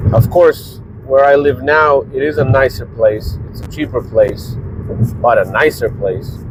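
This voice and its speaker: Pitch varies in an ordinary way as the speech goes along fairly slowly. Background noise can be clearly heard. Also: man, fairly high pitch for a man. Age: 40s. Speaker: vlogger and small business owner. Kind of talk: casual vlog monologue.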